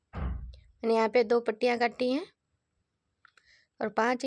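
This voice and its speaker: A woman's high-pitched voice on a very clean recording with a silent background. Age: 40s. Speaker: home dressmaker for deity idols. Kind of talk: sewing tutorial narration.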